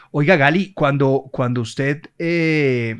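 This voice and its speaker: Ordinary pitch variation in a male voice. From Colombia. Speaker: radio host; radio host interviewer. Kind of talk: casual chat. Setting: studio. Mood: warm, admiring. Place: studio. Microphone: studio mic.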